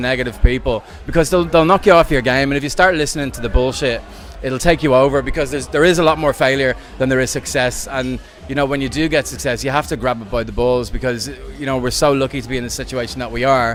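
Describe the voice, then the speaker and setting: Over music in the background, a man with an Irish accent and a medium pitch talks at a very fast pace with ordinary pitch variation. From Ireland. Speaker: DJ and dance music producer. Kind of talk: interview. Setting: venue interview. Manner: animated.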